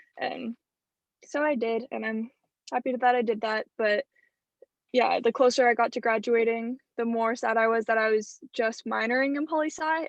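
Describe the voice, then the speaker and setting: A woman's fairly high voice, a plain, everyday voice at a moderate pace with fairly even intonation, dry and close with no echo over a quiet background. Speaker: university student. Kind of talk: class introduction.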